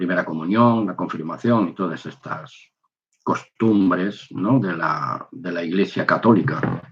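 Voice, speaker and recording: A man with a very deep, low pitch speaks at a fairly slow pace, with ordinary pitch variation and big swings in loudness. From Spain. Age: 60s. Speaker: religious video maker, former soldier. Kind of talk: personal testimony. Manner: halting.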